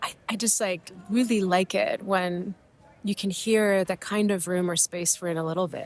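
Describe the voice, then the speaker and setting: Noticeable background noise surrounds a woman speaking at a medium pitch with fairly even intonation. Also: moderate pace. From Mexico. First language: Spanish. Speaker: podcast host. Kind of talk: casual chat. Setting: airport. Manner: halting.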